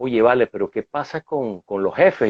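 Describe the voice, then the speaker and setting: Lively in intonation, a man with a Venezuelan accent speaks at a fairly quick pace. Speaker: management consultant. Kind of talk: interview.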